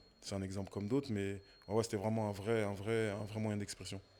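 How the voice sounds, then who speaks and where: At a moderate pace, a man talks in a normal speaking voice, fairly low in pitch with fairly even intonation. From Paris suburbs, Seine-Saint-Denis (93). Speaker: podcast guest, former basketball coach and rapper. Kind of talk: interview conversation.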